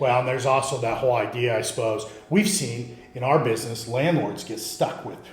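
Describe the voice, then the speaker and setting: A man with a medium pitch speaks at a fairly quick pace with hardly any pauses. His pitch varies in an ordinary way, and music plays in the background. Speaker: podcast host. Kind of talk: podcast host intro and interview questions.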